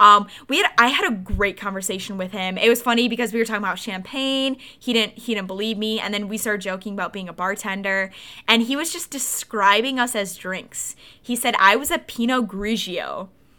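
An animated woman talks at a fairly quick pace in a fairly high pitch with ordinary pitch variation. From Wisconsin, US Midwest. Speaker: podcast co-host. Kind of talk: casual chat.

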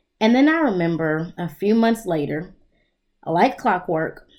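An unremarkable speaking voice belongs to a woman with a fairly low pitch. She talks at a moderate pace. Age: 30s. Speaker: therapist and podcast host. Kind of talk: solo self-help monologue.

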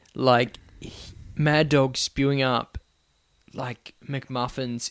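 A man talks in an Australian accent. The sound is dry and close, with no echo. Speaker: guest co-host, podcast guest. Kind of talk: casual banter, comedic chat. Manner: casual, joking.

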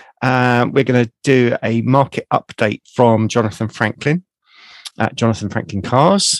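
Recorded with a dry, close sound and no echo, a man with a plain, everyday voice speaks at a medium pitch and a fairly slow pace, using ordinary pitch variation. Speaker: podcast co-host. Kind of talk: casual chat.

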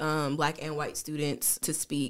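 In a very clean recording with a silent background, a woman with an American accent talks at a moderate pace in a very deep, low pitch. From US South, Tennessee (Jackson). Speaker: university diversity administrator. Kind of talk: casual interview.

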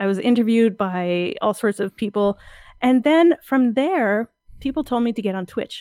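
Lively intonation and a fairly high pitch mark this woman's voice at a moderate pace. The recording is very clean, with a silent background and a dry, close sound with no echo. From Ontario, Canada. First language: French. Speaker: artist and science communicator. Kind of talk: interview.

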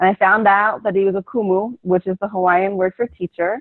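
At a fairly quick pace, a woman with an American accent and medium pitch speaks in a plain, everyday voice. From US Northeast, Philadelphia. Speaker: bodywork practitioner. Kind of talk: interview.

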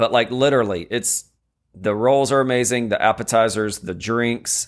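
A man with a plain, everyday voice talks at a fairly slow pace, his medium pitch showing ordinary variation. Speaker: podcast co-host. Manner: joking, interrupts playfully.

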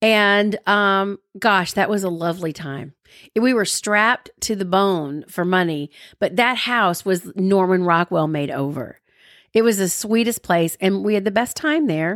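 A woman with an American accent at medium pitch, ordinary pitch variation, dry, close sound without echo, and a very clean recording over a silent background. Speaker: radio broadcaster and podcast co-host. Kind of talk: casual chat between spouses.

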